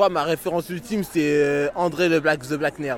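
A man's fairly high pitch comes through noticeable background noise. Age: 30s. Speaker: pop culture fan. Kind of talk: street interview. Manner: halting.

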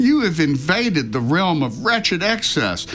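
The speaker moves at a moderate pace with very wide pitch swings. Noticeable background noise runs underneath. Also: man. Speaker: radio host. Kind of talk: comedic radio show banter. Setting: radio broadcast studio.

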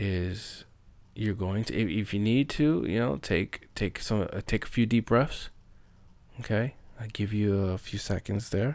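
A man speaks at a fairly slow pace, his pitch fairly low. The recording is very clean, with a silent background. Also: ordinary pitch variation. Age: 30s. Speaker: podcast host speaking about living with bipolar. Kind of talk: solo monologue podcast. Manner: hesitant with many fillers.

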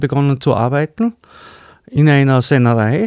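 Heard with a dry, close sound and no echo, a man talks at a fairly slow pace, his fairly high pitch showing ordinary variation. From Austria, Vorarlberg (Bludenz district). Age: 50s. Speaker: cabinetmaker. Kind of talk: interview. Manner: hesitant, many fillers.

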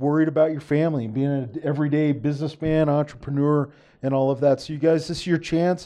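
A man's fairly high-pitched voice, dark and mellow in tone, with monotone, flat intonation. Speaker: podcast co-host, former colleague of guest. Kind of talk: live podcast interview. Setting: live stream.

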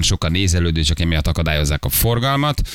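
A man speaking at a very fast pace. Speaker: radio host. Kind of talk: casual morning radio banter. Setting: radio studio.

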